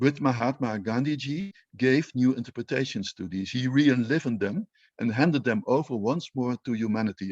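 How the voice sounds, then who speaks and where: With a Dutch accent, a man speaks at a fairly quick pace in a medium pitch with ordinary pitch variation. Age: 60s. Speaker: Indologist. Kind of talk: panel talk. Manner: hesitant, with fillers and repetitions.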